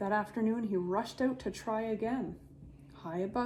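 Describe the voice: Someone does plain reading aloud of a text.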